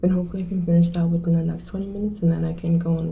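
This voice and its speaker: A woman is whispering. Audible room echo surrounds her voice. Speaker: student vlogger. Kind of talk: casual vlog narration. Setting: study room.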